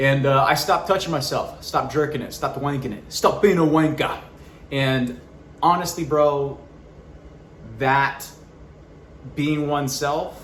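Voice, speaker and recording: Fairly slow, fairly high-pitched speech from a man, broken by long, frequent pauses, with audible room echo. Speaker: YouTuber and actor. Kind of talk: personal update vlog. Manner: loud, projecting; animated.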